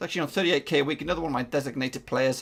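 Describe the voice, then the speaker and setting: A man is speaking. He has an English accent. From England. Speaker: gaming YouTuber. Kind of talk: video game commentary. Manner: casual, hesitant with fillers.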